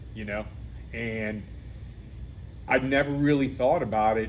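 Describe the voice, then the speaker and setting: The intonation is lively, and audible room echo surrounds the voice. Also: man. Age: 50s. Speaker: podcast host. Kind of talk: interview.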